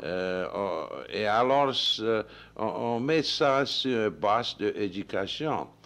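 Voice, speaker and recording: Using ordinary pitch variation, a man with a medium pitch speaks at a very slow pace. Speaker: president of a council for French in Louisiana. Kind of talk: radio interview answer. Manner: hesitant, halting.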